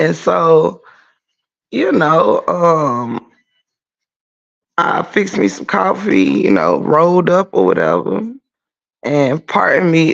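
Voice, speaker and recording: A quiet man at a fairly slow pace. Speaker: YouTube livestreamer. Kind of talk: casual livestream chat. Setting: garage, early morning livestream. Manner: quiet, holding volume down.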